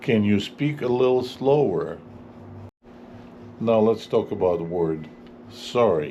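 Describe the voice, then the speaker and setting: A man with a non-native accent speaks fairly slowly at a medium pitch, with lively intonation. Audible room echo surrounds his voice. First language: not English. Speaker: English teacher. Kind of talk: tutorial. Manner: clear.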